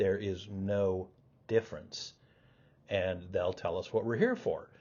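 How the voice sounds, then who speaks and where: A man talks at a fairly slow pace. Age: 60s. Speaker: professor. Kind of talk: lecture. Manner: halting, many fillers and repeats.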